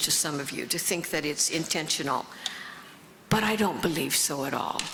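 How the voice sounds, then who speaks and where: Audible room echo mixes with noticeable background noise throughout the recording. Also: woman. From US Midwest, Lafayette, Indiana. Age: 80s+. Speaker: author and recovery speaker. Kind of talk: conference talk. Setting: stage with audience. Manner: halting.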